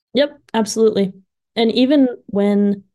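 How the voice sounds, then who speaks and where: Her tone is dark and mellow. This woman keeps her intonation fairly even. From adopted from Russia as infant. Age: 20s. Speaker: music teacher. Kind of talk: podcast interview.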